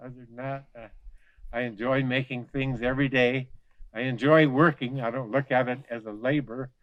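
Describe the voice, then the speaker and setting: A man speaks in an American accent at a moderate pace and medium pitch. His intonation is monotone and flat, while his loudness swings widely. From Western Colorado. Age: 70s. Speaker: artist. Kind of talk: casual tour talk. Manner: halting, many fillers.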